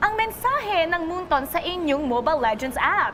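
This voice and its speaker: A woman speaks at an extremely high pitch, her voice swinging very widely up and down. The tone is energetic, the pace fairly quick, and background noise is noticeable. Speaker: esports show host. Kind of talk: live esports broadcast hosting.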